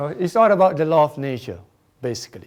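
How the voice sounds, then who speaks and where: Lively intonation runs through the speech of a man with a Singaporean accent. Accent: Singaporean English (Singlish). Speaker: feng shui researcher and speaker. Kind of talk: conference presentation. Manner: hesitant, many fillers.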